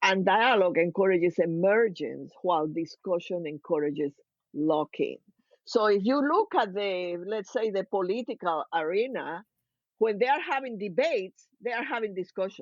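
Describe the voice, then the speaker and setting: Lively in intonation, a woman with a Cuban accent speaks at a moderate pace and medium pitch. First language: Spanish. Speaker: organizational consultant. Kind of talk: podcast interview.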